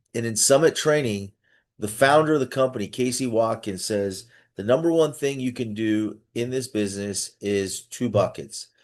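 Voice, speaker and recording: A man speaks in an animated tone at a medium pitch, with ordinary pitch variation. His pace is moderate, and the background is quiet. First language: not English. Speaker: business coach. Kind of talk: online coaching session. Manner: halting.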